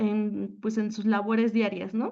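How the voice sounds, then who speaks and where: An ordinary speaking voice from a woman, fairly high in pitch and fairly slow in pace. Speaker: teacher. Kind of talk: conference talk. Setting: panel at a forum.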